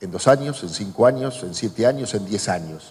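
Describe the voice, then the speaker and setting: At a fairly slow pace, a man speaks in a somewhat breathy voice. His pitch swings very widely. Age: 60s. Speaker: journalist and author. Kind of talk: public talk Q&A.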